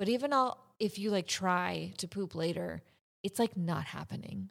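On a very clean recording with a silent background, a woman at medium pitch and moderate pace uses an ordinary speaking voice. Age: 40s. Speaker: emergency nurse and podcast host. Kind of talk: casual monologue.

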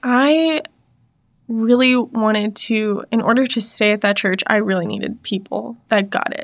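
A woman with an ordinary speaking voice talks at a fairly slow pace, her fairly high pitch showing ordinary variation. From US South, North Carolina (army family, moved around). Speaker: church staff member and former teacher. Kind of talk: casual interview chat.

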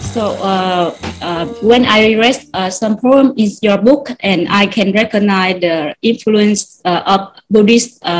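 A woman speaks at a medium pitch with a Vietnamese accent. Her voice is somewhat breathy, and her pitch varies an ordinary amount. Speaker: writer. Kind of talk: interview. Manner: halting.

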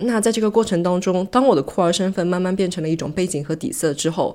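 In a very clean recording with a silent background, a woman speaks at a fairly low pitch with lively intonation. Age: 30s. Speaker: podcast host. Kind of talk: solo monologue podcast. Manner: casual, code-switching with English.

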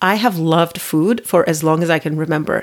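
A woman talks with a fairly low pitch. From Turkey. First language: Turkish. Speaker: podcast host and life coach. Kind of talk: solo monologue podcast. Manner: conversational with fillers.

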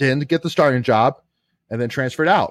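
A man with a plain, everyday voice at medium pitch, fairly quick pace and ordinary pitch variation, in a dry, close sound with no echo. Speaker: sports podcast host. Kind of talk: casual sports talk show discussion.

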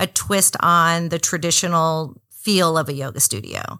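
A woman with an American accent, bright, sharp tone and fairly slow pace, on a very clean recording with a silent background. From Miami, Florida. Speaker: yoga studio owner. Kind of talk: interview.

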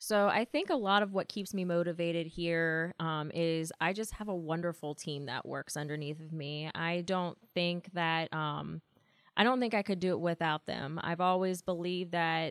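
A woman with an American accent talks in a normal speaking voice, fairly low in pitch, at a moderate pace. The sound is dry and close, with no echo. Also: very clean recording, silent background. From West Virginia, Martinsburg (Eastern Panhandle). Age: 30s. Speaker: nurse manager. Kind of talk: interview conversation. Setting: hospital office.

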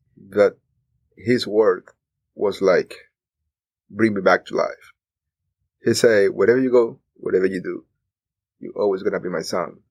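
A man with a Cuban accent speaks at a moderate pace, leaving long, frequent pauses. The sound is dry and close, with no echo. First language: Spanish. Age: 30s. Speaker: immigrant telling his story. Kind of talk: interview. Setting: studio.

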